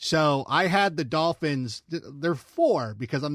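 The background is silent, and the recording is very clean. A man with a normal speaking voice talks at a moderate pace, with ordinary pitch variation. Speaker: football analyst. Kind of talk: casual sports talk.

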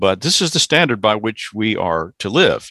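A man speaks at a fairly slow pace with an American accent and a bright, sharp tone. The recording is very clean, with a silent background. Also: dry, close sound with no echo. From US South. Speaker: pastor. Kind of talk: casual chat. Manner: halting.

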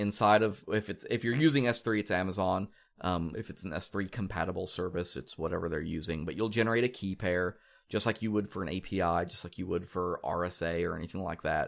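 This man has a very deep, low pitch. His pitch variation is ordinary. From Kansas. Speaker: podcast host. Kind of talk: casual podcast chat.

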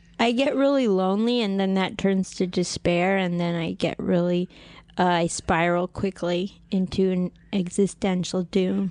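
This woman has an ordinary speaking voice, medium in pitch with ordinary pitch variation. She talks at a fairly slow pace against a quiet background. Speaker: stand-up comedian. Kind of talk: casual chat. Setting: studio.

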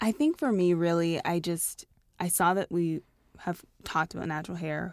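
On a very clean recording with a silent background, a woman with an unremarkable speaking voice and a Canadian accent talks at a moderate pace in a fairly low pitch. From Canada, Toronto. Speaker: fashion and beauty editor. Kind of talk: casual interview chat.

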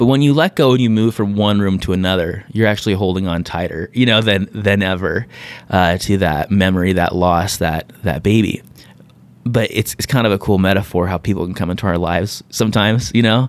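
An ordinary speaking voice with an American accent moves at a fairly quick pace with ordinary pitch variation. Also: man, fairly low pitch for a man. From US West Coast (San Diego). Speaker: author, coach and entrepreneur. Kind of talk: interview conversation.

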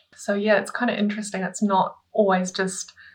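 A woman speaks with a New Zealand accent and fairly even intonation. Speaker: artist. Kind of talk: casual interview chat.

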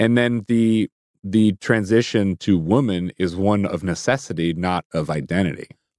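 In an unremarkable speaking voice with an American accent, a man with a fairly low pitch and ordinary pitch variation speaks at a moderate pace, on a very clean recording with a silent background and a dry, close sound with no echo. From US Midwest (Chicago suburbs and Minneapolis). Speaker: comedian and performer. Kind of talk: casual chat. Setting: studio.

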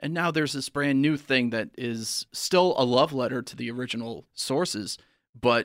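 In a very clean recording with a silent background, a man with an unremarkable speaking voice talks at a moderate pace in a medium pitch with ordinary pitch variation. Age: 30s. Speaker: comedian. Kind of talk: casual chat.

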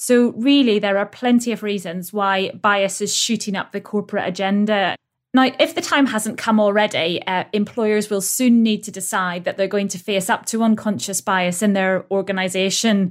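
A woman with an ordinary speaking voice, medium pitch, ordinary pitch variation, moderate pace and hardly any pauses, in a very clean recording with a silent background. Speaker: employment lawyer. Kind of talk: professional podcast discussion.

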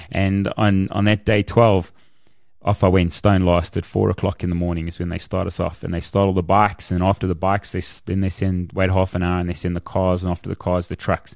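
With a South African accent, the speaker goes at a fairly quick pace over a quiet background. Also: man, very deep, low pitch for a man. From South Africa, Kempton Park, East Rand. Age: 40s. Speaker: author and motivational speaker. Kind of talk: interview storytelling. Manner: animated.

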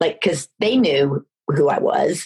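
A woman talks with an American accent. Her voice is somewhat breathy. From Texas, Dallas. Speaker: film producer. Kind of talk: interview.

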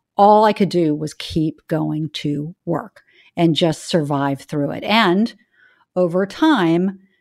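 This is an unremarkable speaking voice. It carries an American accent. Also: woman. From US South. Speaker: investment firm founder and CEO. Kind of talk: interview.

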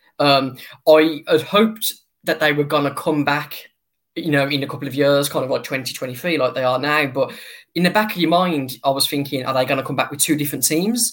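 Talking at a fairly quick pace in an English accent, a man uses a fairly high pitch with ordinary pitch variation. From England. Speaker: baseball fan account runner. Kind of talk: interview. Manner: halting.

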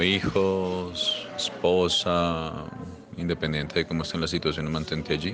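With noticeable background noise behind him, a man speaks at a moderate pace in a fairly even intonation. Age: 40s. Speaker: podcast interviewee. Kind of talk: reflective monologue answer.

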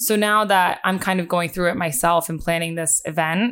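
A woman with an American accent and an unremarkable speaking voice, fairly low-pitched, at a fairly quick pace, on a very clean recording with a silent background. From US Northeast, Bucks County, Pennsylvania. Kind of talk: casual interview chat.

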